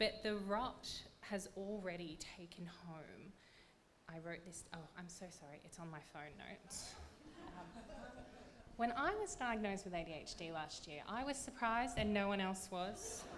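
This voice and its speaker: In an Australian accent, the voice moves at a moderate pace with ordinary pitch variation and big swings in loudness, while audible room echo surrounds it. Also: woman, medium pitch for a woman. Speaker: literary prize judge. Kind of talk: award announcement panel talk. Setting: stage with audience, microphone.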